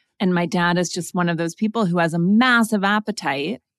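A woman with an American accent talks at a moderate pace with ordinary pitch variation, in a plain, everyday voice. The recording is very clean, with a silent background and a dry, close sound with no echo. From Montana. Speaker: author and podcast host. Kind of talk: interview.

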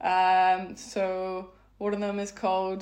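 A medium-pitched woman with a Belfast accent, amid audible room echo. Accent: Belfast Northern Irish. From Northern Ireland, Belfast. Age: 30s. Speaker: speed dating event organiser. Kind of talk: interview.

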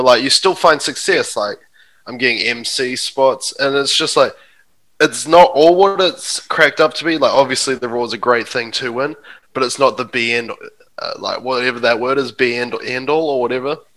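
Bright and sharp in tone, a man with a New Zealand accent speaks in a fairly high pitch with ordinary pitch variation. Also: moderate pace. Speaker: stand-up comedian. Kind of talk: casual chat. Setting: video call.

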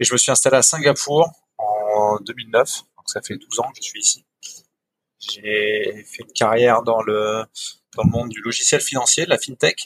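Loudness swings widely as a man speaks fairly slowly, the sound dry and close with no echo. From Picardy, northern France. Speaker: entrepreneur, fair-trade farm founder. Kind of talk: interview conversation. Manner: hesitant, many repetitions.

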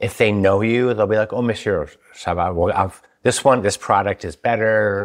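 A man with an American accent speaks in an unremarkable speaking voice, fairly low in pitch, at a moderate pace with fairly even intonation. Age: middle-aged. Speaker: podcast host. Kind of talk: casual chat.

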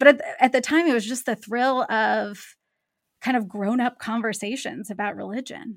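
On a very clean recording with a silent background, a woman with an American accent speaks at a moderate pace, her fairly high voice showing vocal fry and ordinary pitch variation. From US Pacific Northwest (Seattle area). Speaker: theology professor. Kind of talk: interview conversation. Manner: repeats words, slight hesitations.

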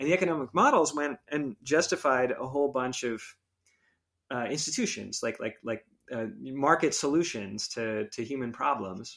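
This man has a normal speaking voice at a fairly high pitch, talking at a moderate pace with ordinary pitch variation on a very clean recording with a silent background. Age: 40s. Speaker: technology ethics researcher and designer. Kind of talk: casual interview.

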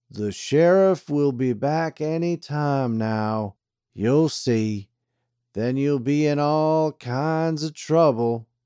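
A man in a put-on character voice drawls at a very slow pace, pitched fairly high with ordinary pitch variation, in a dry, close recording with no echo. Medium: read story. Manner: slow drawl.

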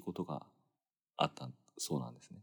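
A man at a fairly quick pace. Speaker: podcast host. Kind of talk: late-night solo storytelling monologue. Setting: dark room in bed, hotel in Los Angeles.

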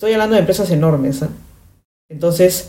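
A woman's fairly low, somewhat breathy voice with ordinary pitch variation. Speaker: podcast host, branding consultant. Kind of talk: casual commentary monologue. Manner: animated.

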